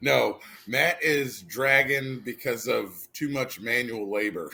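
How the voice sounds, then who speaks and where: A man's bright, sharp voice with vocal fry and ordinary pitch variation, at a very slow pace. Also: medium pitch for a man. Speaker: podcast co-host. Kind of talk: casual chat. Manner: low energy.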